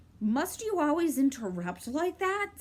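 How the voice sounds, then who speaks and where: A woman does a put-on character voice at a high pitch. Her pitch swings very widely at a moderate pace. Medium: read story.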